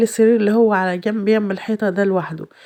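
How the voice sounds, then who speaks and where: A woman's fairly high-pitched, dark and mellow voice at a fairly quick pace, with fairly even intonation, in a very clean recording with a silent background. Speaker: home vlogger, mother. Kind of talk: casual vlog narration. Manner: halting with fillers.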